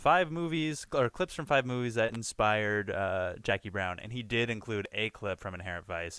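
A man talks at a fairly quick pace in a bright, sharp tone, captured in a very clean recording with a silent background. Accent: American. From Southern California, South Bay (Redondo Beach). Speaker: podcast co-host. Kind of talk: casual chat.

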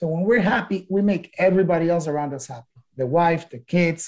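Speaking at a fairly quick pace, a man with a Spanish accent has a high pitch, a dark, mellow tone and ordinary pitch variation. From Ecuador. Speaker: entrepreneur and business mentor. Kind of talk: interview. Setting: podcast interview.

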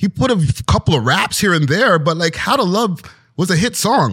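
Very wide pitch swings mark a man's speech at a moderate pace, recorded in a dry, close sound with no echo. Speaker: hip-hop media personality and podcaster. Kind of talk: casual interview chat. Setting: studio.

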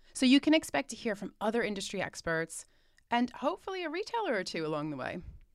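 Speaking very fast with an American accent, a woman uses a fairly high pitch, very wide pitch swings and vocal fry. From United States. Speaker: retail analyst and podcast host. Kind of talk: scripted podcast intro and monologue.

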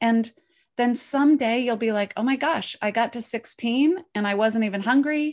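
A woman talks at a fairly high pitch and moderate pace, with a normal speaking voice and ordinary pitch variation. The background is quiet. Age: 50s. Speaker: intermittent fasting coach and author. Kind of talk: interview.

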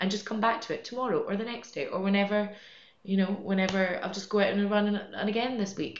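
In a Scottish accent, a woman speaks very fast in a medium-pitched, flat monotone. Noticeable background noise and audible room echo come through. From Scotland. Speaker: amateur runner. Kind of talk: casual chat.

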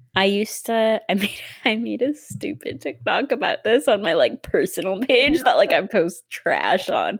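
With a Midwestern US accent, a woman speaks at a fairly high pitch and a moderate pace, hardly pausing. Her pitch swings very widely. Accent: Midwestern US, noticeable. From US Midwest. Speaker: podcast host. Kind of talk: casual chat. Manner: animated, chatty.

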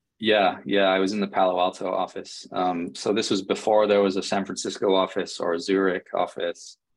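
A man with an American accent talks at a fairly quick pace with hardly any pauses, his fairly low voice monotone and flat. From England. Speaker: software engineer and startup founder. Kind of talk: interview.

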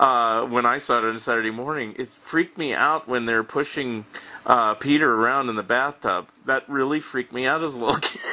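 With noticeable noise in the background, a man keeps a fairly even intonation at a medium pitch while talking fairly quickly. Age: 50s. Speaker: podcast host. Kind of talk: casual chat. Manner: halting.

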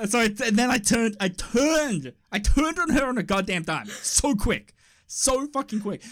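A man speaks in an extremely high voice at a moderate pace. His tone is animated and his intonation lively. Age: 30s. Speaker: podcast co-host. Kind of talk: casual chat.

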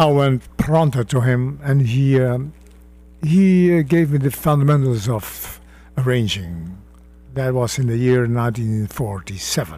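Lively intonation marks this man's somewhat breathy, dark, mellow voice at a medium pitch. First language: Dutch. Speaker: jazz arranger and bandleader. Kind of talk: radio interview. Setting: radio studio.

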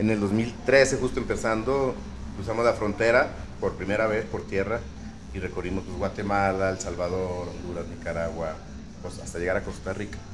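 The voice moves at a moderate pace with ordinary pitch variation. Noticeable background noise and audible room echo are present. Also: man, fairly low pitch for a man. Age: 40s. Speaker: reggae band vocalist. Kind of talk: interview. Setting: live broadcast from a record store.

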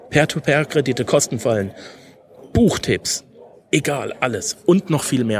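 A man speaks at a fairly slow pace with lively intonation and a somewhat breathy sound. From Germany, Karlsruhe (Baden). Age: 30s. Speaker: finance podcast host. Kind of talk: solo podcast monologue. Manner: frequent hesitation fillers.

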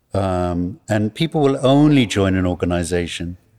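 In a British accent, a dark, mellow tone moves at a fairly slow pace with lively intonation over a very clean recording with a silent background. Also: man. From England. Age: old. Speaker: film producer. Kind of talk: interview.

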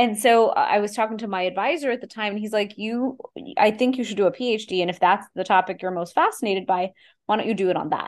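Over a quiet background, a woman with a Texas accent talks at a very fast pace in a fairly high pitch with ordinary variation. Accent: American, Texas. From Houston, Texas, US, Indian immigrant family. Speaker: Ayurvedic practitioner. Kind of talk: interview.

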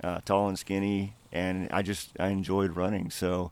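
A man with a normal speaking voice, fairly low in pitch. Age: 40s. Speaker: long distance runner and army veteran. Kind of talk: interview.

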